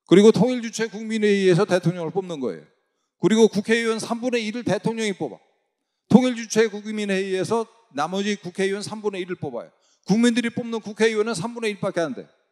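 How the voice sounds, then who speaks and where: Recorded dry and close with no echo, a man talks at a fairly quick pace in a high pitch, with ordinary pitch variation and big swings in loudness. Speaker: former government official, lecturer. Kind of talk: lecture.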